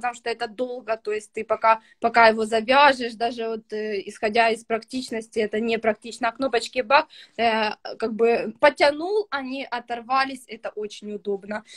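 A woman at a moderate pace with fairly even intonation, against a quiet background. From Ukraine, Kryvyi Rih; Ukraine. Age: 20s. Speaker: young mother, student; interviewee. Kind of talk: interview testimony. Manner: hesitant with fillers. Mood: relaxed, positive. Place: home room. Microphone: video call.

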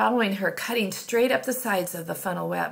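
The speaker reads in an unforced reading voice.

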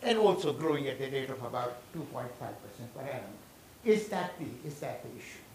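Lively intonation, audible room echo, and light background noise. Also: man, fairly high pitch for a man, moderate pace. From India. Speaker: urban economics expert. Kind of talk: lecture. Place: hall.

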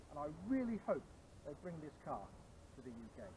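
Over noticeable background noise, a man with a British accent speaks at a moderate pace with very wide pitch swings, the sound dry with no echo. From UK. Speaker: car reviewer. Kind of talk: car review presentation. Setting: in a car in China. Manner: animated.

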